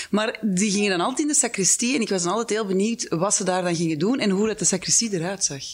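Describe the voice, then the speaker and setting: A woman talks at a very fast clip with hardly any pauses and very even loudness over noticeable background noise. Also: medium pitch for a woman, lively intonation. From Halle, Flemish Brabant, Belgium. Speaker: podcast host. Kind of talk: interview conversation.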